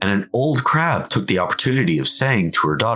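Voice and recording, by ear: Someone is reading aloud in a natural voice.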